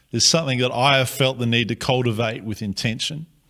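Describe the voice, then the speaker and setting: A man speaks at a fairly quick pace with an Australian accent. His pitch is medium, and the recording is very clean with a silent background. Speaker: pastor. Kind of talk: prepared address to the congregation. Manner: formal.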